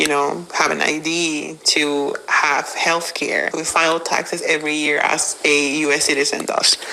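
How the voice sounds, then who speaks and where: A woman with a Spanish accent speaks at a fairly slow pace in a very deep, low voice, her intonation monotone and flat, with hardly any pauses and noticeable background noise. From Mexico. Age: 30s. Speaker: undocumented immigrant. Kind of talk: interview testimony. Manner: halting, many fillers.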